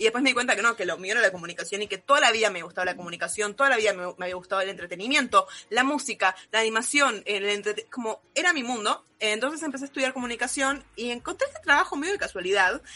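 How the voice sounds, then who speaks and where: Talking at a very fast pace with hardly any pauses, a woman with an Argentine accent, fairly high in pitch, uses lively intonation over noticeable background noise. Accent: Argentine Spanish (Rioplatense). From Argentina. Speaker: anime content creator. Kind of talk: casual chat.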